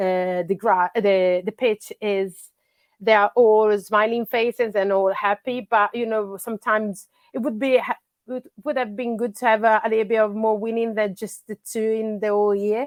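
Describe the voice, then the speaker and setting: The woman's fairly high voice keeps a fairly even intonation at a moderate pace. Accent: Italian. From Italy. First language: Italian. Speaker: grassroots soccer coach. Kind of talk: podcast interview. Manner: halting, many fillers.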